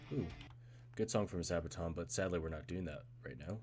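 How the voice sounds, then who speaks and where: Over music in the background, a man with a very deep, low voice speaks at a moderate pace with lively intonation. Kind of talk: casual gameplay stream talk.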